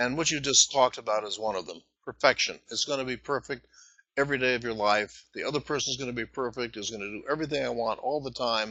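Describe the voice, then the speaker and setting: Speech pours out very fast. The man's pitch sits in the medium range. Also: fairly even intonation. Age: 70s. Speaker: author and relationship expert. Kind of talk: interview.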